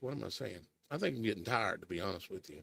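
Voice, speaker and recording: A man's medium-pitched voice with vocal fry, in a dry, close sound with no echo. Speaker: streamer discussing scripture. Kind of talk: bible study commentary.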